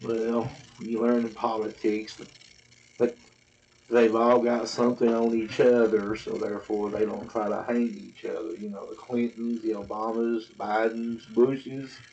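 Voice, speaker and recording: A man's medium-pitched voice in a Southern accent, monotone and flat at a fairly slow pace, with big swings in loudness and noticeable background noise. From US South, Tennessee. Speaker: vlogger. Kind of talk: casual monologue to camera. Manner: rambling.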